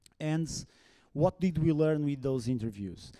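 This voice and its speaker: A man speaks in a dark, mellow tone with ordinary pitch variation. The recording is very clean, the background silent. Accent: non-native. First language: Portuguese. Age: 40s. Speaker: conference speaker. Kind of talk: conference talk. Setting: stage with audience. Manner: halting.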